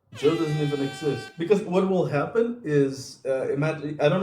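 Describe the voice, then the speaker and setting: Music plays in the background and the room echo is audible as a man speaks at a moderate pace with a Portuguese accent. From Portugal. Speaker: YouTuber. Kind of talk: casual vlog chat. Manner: hesitant, with fillers.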